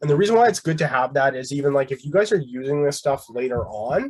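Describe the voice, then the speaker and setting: A man speaks at a very fast pace, his voice somewhat breathy. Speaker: instructor. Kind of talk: tutorial.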